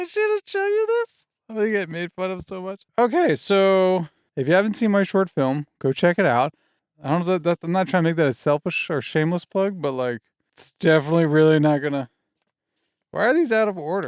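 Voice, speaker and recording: A man's high-pitched voice with a non-native accent at a fairly quick pace, over a quiet background. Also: ordinary pitch variation, dry sound with no echo. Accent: has an accent, slurs words. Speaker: filmmaker and writer, video creator; video creator. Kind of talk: casual vlog tutorial. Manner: slurred speech; casual, rambling self-corrections. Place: home room. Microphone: studio mic.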